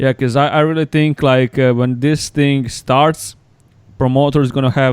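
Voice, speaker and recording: With a Croatian accent, a man talks at a moderate pace in a monotone, flat intonation. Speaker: pro wrestler and podcast host. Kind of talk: casual chat.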